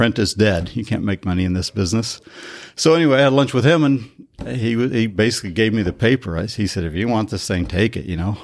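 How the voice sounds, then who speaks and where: The speaker talks at a very fast pace with an American accent and lively intonation. The recording is very clean, with a silent background. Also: man, fairly low pitch for a man. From Colorado, small rural town. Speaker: publisher and entrepreneur. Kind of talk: interview conversation.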